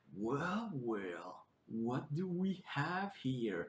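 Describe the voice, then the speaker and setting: In a put-on character voice, a man speaks at a fairly high pitch with very wide pitch swings and a slight echo. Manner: ominous, menacing.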